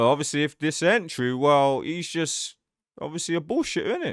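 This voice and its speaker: A man speaks at a fairly quick pace. The recording is very clean with a silent background and a dry, close sound with no echo. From England, Gloucester. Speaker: streamer reacting to videos. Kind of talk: reaction commentary. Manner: occasional stutter.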